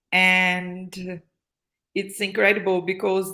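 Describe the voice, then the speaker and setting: A woman speaks at a medium pitch with a Portuguese accent. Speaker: happiness consultant and social entrepreneur. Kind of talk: casual interview. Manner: halting, frequent fillers and repetitions.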